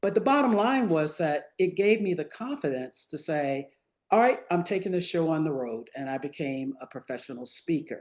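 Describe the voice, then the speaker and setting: Speaking at a moderate pace in an American accent, a woman uses a fairly low pitch with very wide pitch swings. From US South, Virginia. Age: 70s. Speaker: retired physician, author and professional speaker. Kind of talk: interview.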